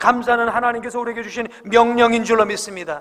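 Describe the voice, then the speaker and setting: A man's raised, projected voice at a high pitch and fairly quick pace, amid noticeable background noise. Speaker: pastor. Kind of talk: sermon.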